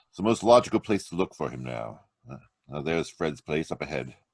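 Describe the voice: A man puts on a character voice at an extremely low pitch, with lively intonation, a slightly mellow tone, a slightly husky edge, vocal fry and a fairly quick pace.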